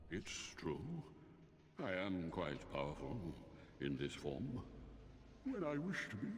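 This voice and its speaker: A man's put-on character voice, very deep and low, at a fairly slow pace with long, frequent pauses, amid clear background noise and clear echo. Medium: video game. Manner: languid, condescending.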